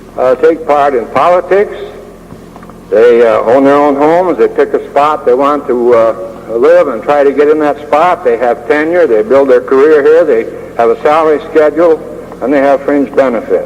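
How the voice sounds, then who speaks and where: Against noticeable background noise, a man speaks at a moderate pace in a fairly high pitch, with ordinary pitch variation and very even loudness. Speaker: former teacher. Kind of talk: oral history talk. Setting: 1976 recording. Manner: hesitant, frequent fillers.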